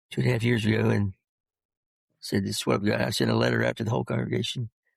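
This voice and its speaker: A man's very deep, low voice with vocal fry, very wide pitch swings and a very fast pace, in a dry, close sound with no echo. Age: 60s. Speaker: retired pastor. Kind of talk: interview. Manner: halting, with stutters and repeats; fast speech.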